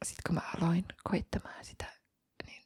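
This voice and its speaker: Whispering in a relaxed tone at a very slow pace, a woman is heard with a dry, close sound and no echo. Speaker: ASMR content creator, cat foster carer. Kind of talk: ASMR ramble, casual chatty talk about cats. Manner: soft-spoken, relaxed, occasionally whispering.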